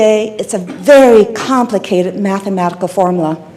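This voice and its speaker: Ordinary pitch variation in a woman's speech, with noticeable background noise behind it. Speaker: company founder giving an executive talk. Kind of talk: presentation to a meetup audience. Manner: informal, conversational with filler words.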